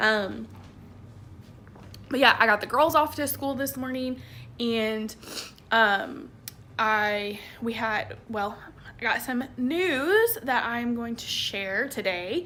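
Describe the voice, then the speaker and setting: A woman with a Southern US accent speaks very slowly in a fairly high pitch, her bright, sharp tone carrying ordinary pitch variation between long, frequent pauses. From Tennessee, Nashville. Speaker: vlogger, military spouse. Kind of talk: casual vlog. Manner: casual with many fillers.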